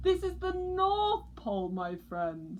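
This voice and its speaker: A woman performs a put-on character voice. She speaks at a fairly slow pace. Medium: read story.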